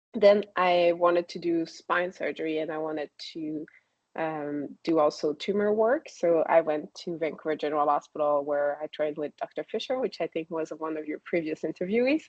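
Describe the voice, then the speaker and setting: A woman's fairly low voice with a slight French accent, moderate pace and ordinary pitch variation. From Quebec, Canada (town outside Quebec City). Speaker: spine surgeon. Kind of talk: interview. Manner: hesitant, many fillers.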